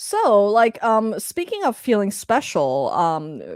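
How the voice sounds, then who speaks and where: A woman speaks very slowly at a fairly high pitch. The recording is very clean, with a silent background. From Hong Kong. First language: Chinese (Cantonese). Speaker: livestream co-host. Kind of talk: casual chat. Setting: live stream. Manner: hesitant, many fillers.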